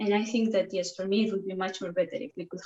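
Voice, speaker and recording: A woman speaks with a Spanish accent. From Spain. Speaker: prospective student. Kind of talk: casual discussion.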